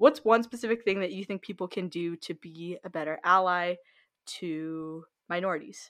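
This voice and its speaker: A plain, everyday voice with an American accent, lively intonation and a moderate pace, on a very clean recording with a silent background. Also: woman. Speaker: podcast host. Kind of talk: casual chat; scripted narration.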